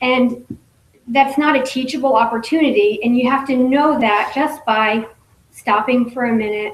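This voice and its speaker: A woman's shaky, high-pitched voice at a moderate pace, with ordinary pitch variation and very even loudness. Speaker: direct sales business leader, former nurse. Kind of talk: motivational talk at business meeting. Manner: shaky voice.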